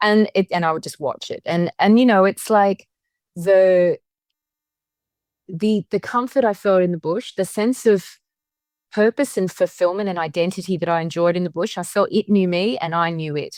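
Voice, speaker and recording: A woman with an Australian accent talks at medium pitch and a moderate pace with ordinary pitch variation, in a dry, close sound with no echo. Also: very clean recording, silent background. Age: 50s. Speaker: witchcraft author and spiritual guide. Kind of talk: interview conversation. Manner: halting, with repetitions.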